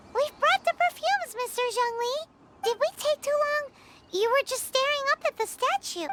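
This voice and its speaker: This put-on character voice is squeaky and extremely high in pitch. It runs at a moderate pace. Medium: video game. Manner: lively, casual.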